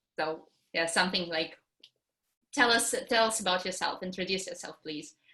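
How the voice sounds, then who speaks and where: A woman speaks at a moderate pace with a Russian accent and medium pitch. Her tone is bright and sharp, with ordinary pitch variation. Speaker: English teacher. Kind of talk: online workshop introduction. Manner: halting.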